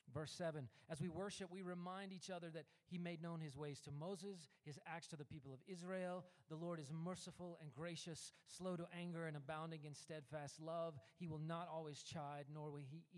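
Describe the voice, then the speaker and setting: Using a plain, everyday voice, a man speaks fairly slowly at a fairly high pitch with fairly even intonation. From US South (Memphis, Tennessee). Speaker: worship pastor. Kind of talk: sermon.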